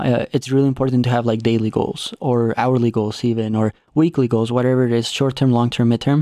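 With hardly any pauses and very even loudness, a man with a dark, mellow tone talks at a fairly quick pace and medium pitch, with fairly even intonation, in a dry, close sound with no echo. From Mexico. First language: Spanish. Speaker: cycling coach and racer. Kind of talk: interview conversation. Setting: studio. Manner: talkative.

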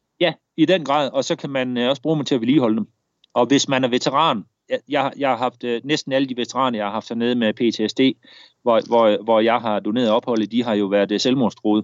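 Using ordinary pitch variation, a man speaks at a medium pitch and a fairly quick pace. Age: 40s. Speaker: war veteran. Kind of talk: interview storytelling. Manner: halting.

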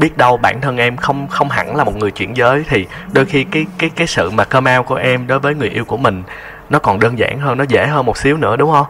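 A man keeps a moderate pace while noticeable background noise sits behind him. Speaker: radio host. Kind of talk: radio talk show on loneliness, interviewing a caller. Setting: studio.

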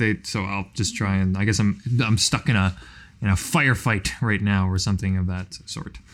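An unremarkable speaking voice from a man, fairly low in pitch, with ordinary pitch variation at a moderate pace, on a very clean recording with a silent background. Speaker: tabletop game player.

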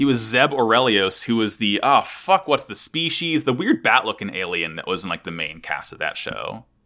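Very clean and recorded against a silent background, the voice moves at a moderate pace with very wide pitch swings and vocal fry. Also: man, medium pitch for a man. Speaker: podcast ringleader host. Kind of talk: casual chat.

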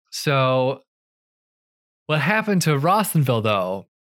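A man speaks in a fairly high voice with a Midwestern American accent and very wide pitch swings. The recording is very clean, with a silent background. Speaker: podcast co-host. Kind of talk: casual chat. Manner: fast talker.

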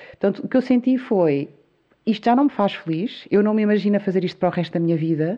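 A woman's medium-pitched voice at a very fast pace, with lively intonation and very even loudness. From Azores, Portugal (São Miguel). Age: 40s. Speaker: entrepreneur, video maker. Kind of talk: interview conversation.

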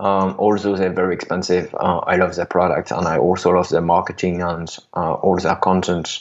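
At a moderate pace, a man talks in a very deep, low pitch with fairly even intonation. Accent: French. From France. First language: French. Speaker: software startup founder. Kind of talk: interview. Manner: halting.

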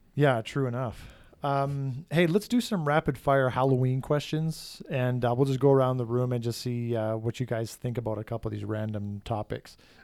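In a plain, everyday voice, the man holds a medium pitch, keeps a moderate pace and shows ordinary pitch variation. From Saskatchewan, Canada. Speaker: podcast host, students union director. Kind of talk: casual chat.

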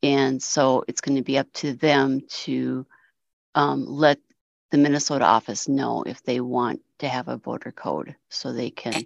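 A woman speaks at a very deep, low pitch with vocal fry and fairly even intonation. Her fairly slow delivery has a dry, close sound with no echo. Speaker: ACB voting official. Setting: online video call.

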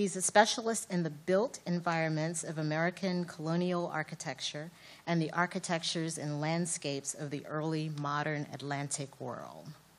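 A woman speaks with a very deep, low pitch. She keeps a moderate pace with hardly any pauses. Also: fairly even intonation. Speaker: event moderator. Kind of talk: speaker introduction. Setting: stage with audience.

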